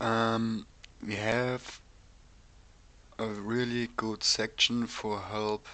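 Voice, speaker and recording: Speaking very slowly with a German accent, a man has a fairly low pitch and a bright, sharp tone. His intonation is monotone and flat. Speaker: game server developer. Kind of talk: tutorial. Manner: halting, many ums.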